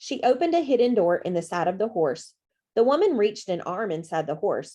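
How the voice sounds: Over a quiet background, a natural reading voice can be heard.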